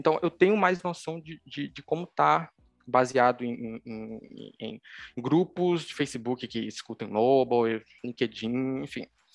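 A man with a medium pitch speaks at a very slow pace, his intonation lively. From Pernambuco, Brazil (Recife area). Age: 20s. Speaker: mobile developer. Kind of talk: interview. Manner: halting, many fillers.

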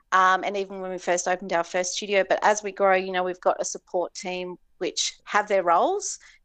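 In a quiet background, a woman with an Australian accent talks fairly quickly with hardly any pauses and monotone, flat intonation. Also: medium pitch for a woman. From Tasmania, Hobart. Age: 40s. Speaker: entrepreneur. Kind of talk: casual interview.

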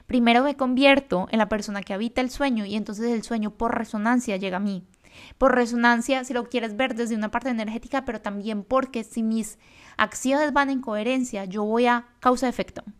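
On a very clean recording with a silent background, a woman speaks fairly quickly at a fairly high pitch with fairly even intonation. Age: 20s. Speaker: podcast host. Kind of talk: motivational monologue.

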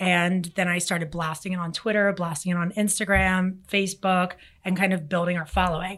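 Her pitch medium and her intonation monotone and flat, a woman talks at a moderate pace. The recording is very clean with a silent background. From Philadelphia, US. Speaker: marketing agency CEO. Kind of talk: interview. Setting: studio.

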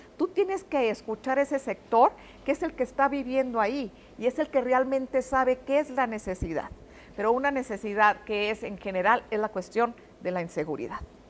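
This woman's high-pitched voice moves at a moderate pace with lively intonation. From Mexico, Ciudad Juárez. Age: 50s. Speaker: politician, candidate. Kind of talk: interview.

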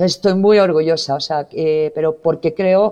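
A woman with a Spanish accent talks at a fairly slow pace. Her pitch is fairly low, with ordinary variation. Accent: Spanish (Spain) accent, unchanged. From Spain. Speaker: digital transformation executive. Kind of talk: interview.

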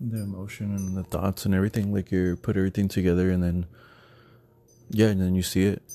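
The delivery is very fast and monotone, with flat intonation. The tone is dark and mellow. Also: man, very deep, low pitch for a man. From Texas. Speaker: podcast co-host. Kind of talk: casual chat.

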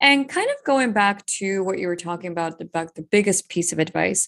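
Against a quiet background, a woman with a normal speaking voice talks at a moderate pace and medium pitch. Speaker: podcast host. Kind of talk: interview, casual chat.

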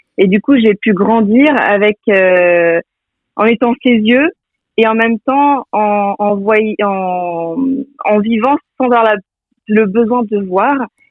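This woman has a fairly high pitch and ordinary pitch variation. She talks very slowly, keeping her loudness very even. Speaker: entrepreneur, president of an online food shop. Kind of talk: radio interview. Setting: remote link from Quimper. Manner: energetic.

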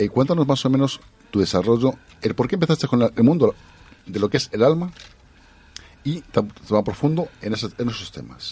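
A man with a Spanish accent talks at a moderate pace and medium pitch, his lively intonation broken by long, frequent pauses. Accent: Peninsular Spanish. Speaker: radio co-host and interviewer. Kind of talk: radio interview.

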